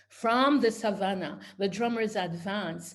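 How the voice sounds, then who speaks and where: Somewhat breathy and fairly high in pitch, this woman's voice moves at a very slow pace with ordinary pitch variation. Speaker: poet and historian. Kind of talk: poetry reading. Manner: rhythmic, incantatory.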